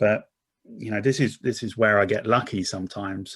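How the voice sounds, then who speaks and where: With an Essex accent, a man talks at a fairly quick pace at medium pitch with ordinary pitch variation. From Essex, England. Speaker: corporate marketing director. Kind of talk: interview conversation. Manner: repetitive false starts.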